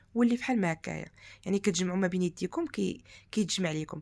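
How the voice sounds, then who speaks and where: A woman with a Moroccan accent at a very fast pace, ordinary pitch variation, and a very clean recording with a silent background. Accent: Moroccan Arabic (Darija). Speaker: cooking channel host. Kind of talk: cooking tutorial.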